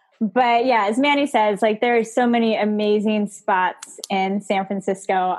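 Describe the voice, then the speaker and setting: Her pitch sits fairly high and moves with ordinary variation. The woman has an ordinary speaking voice. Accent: American. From Southern California. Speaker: spirits trade education director. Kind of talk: casual chat. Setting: video call.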